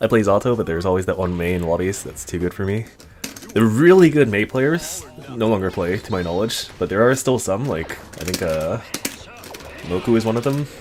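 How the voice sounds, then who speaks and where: A man with a Canadian accent talks at a fairly low pitch with lively intonation. His pace is fairly quick, broken by long, frequent pauses, over noticeable background noise. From Canada. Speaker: fighting game streamer. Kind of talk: live stream commentary while playing.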